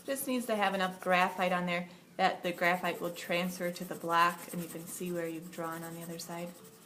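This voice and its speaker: A woman speaks at a moderate pace. Some room echo can be heard. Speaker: art teacher. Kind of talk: tutorial.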